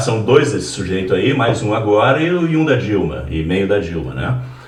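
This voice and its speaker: Amid noticeable background noise and audible room echo, a man with a fairly low pitch speaks at a moderate pace, his pitch swinging very widely. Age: 70s. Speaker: political party member, podcast guest. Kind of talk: casual political interview. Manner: animated.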